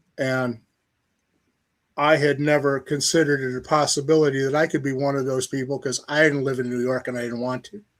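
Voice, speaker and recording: A man with a Midwestern American accent speaks at a fairly high pitch in a monotone, flat delivery. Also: fairly quick pace. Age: 70s. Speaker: novelist. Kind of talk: interview. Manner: casual, conversational.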